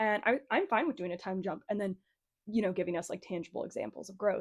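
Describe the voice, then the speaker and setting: Against a quiet background, a woman talks at a medium pitch with ordinary pitch variation. She has an ordinary speaking voice. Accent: American. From United States. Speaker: book reviewer. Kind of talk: casual chat. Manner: casual, filler-heavy speech.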